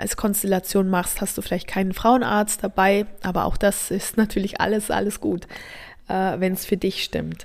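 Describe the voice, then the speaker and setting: Recorded very cleanly against a silent background, a woman talks at a moderate pace in a medium pitch with monotone, flat intonation. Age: 30s. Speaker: birth preparation coach. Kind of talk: podcast monologue.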